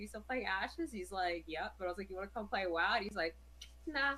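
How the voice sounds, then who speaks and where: The voice moves at a very fast pace in an animated tone, with very wide pitch swings. Vocal fry runs through it. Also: woman. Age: 30s. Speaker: gamer and streamer. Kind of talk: casual chat.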